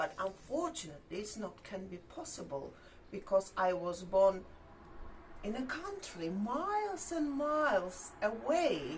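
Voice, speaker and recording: In a non-native accent, the speaker goes at a very slow pace with very wide pitch swings, amid noticeable background noise and audible room echo. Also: woman. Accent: foreign accent in English. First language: not English. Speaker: YouTube vlogger. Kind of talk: casual chat. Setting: outdoors. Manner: halting.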